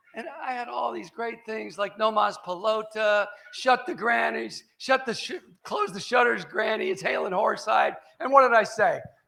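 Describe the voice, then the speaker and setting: Raised and projected, a man's high-pitched voice carries an animated tone with ordinary pitch variation. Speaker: sports columnist and keynote speaker. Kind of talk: after-dinner speech with humorous stories.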